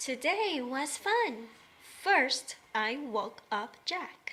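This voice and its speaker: A female-sounding voice uses a put-on character voice with a high pitch. The pace is very slow. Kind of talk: children's early-reader story. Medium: read story. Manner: simple, bouncy.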